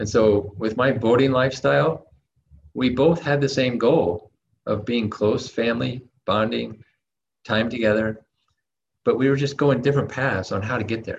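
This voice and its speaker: Using vocal fry, a man speaks in a medium pitch at a moderate pace with ordinary pitch variation and long, frequent pauses. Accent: American. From United States. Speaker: online entrepreneur. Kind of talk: interview.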